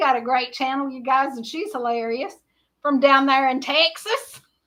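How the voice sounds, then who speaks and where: In a Southern US accent, a woman projects a raised, high-pitched voice with a bright, sharp tone, big swings in loudness, ordinary pitch variation and a moderate pace. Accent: Southern US (Georgia). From Georgia, US South. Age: 60s. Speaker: livestream host. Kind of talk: casual chat. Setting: livestream.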